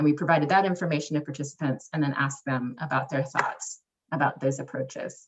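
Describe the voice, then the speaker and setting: A woman with a very deep, low pitch and a somewhat breathy voice speaks at a very fast pace. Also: fairly even intonation. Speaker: public health researcher. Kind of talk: research presentation.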